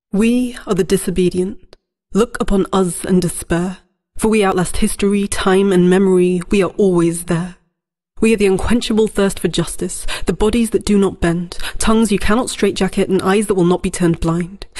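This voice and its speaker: Against a quiet background, a woman talks at a moderate pace in a dark, mellow tone, her intonation fairly even and her loudness very even. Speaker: spoken word poet. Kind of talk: spoken word poem, defiant and rhetorical, performed as a collective 'we' declaration. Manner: impassioned, incantatory, with emphatic rhythmic cadence and a refrain-like repetition; fiery, defiant, and resolute, building in intensity like a rallying protest cry. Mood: defiant, passionate. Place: studio.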